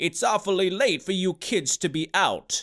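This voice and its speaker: A man's high-pitched put-on character voice at a moderate pace, in a very clean recording with a silent background. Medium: read story. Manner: stoic, calm.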